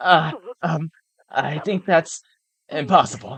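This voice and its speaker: This put-on character voice is hoarse and shaky, sitting at a middle pitch and moving at a fairly slow pace. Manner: quivering.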